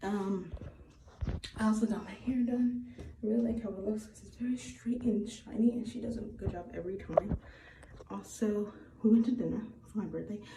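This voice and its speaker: A woman speaks with noticeable background noise and audible room echo. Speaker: beauty and lifestyle vlogger. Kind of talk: personal vlog. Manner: soft-spoken.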